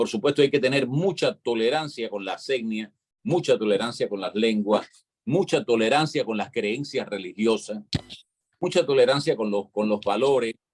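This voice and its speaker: A man speaks in a Cuban accent at medium pitch. His pace is moderate and his pitch varies an ordinary amount. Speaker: panelist on live online talk show. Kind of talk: live panel discussion.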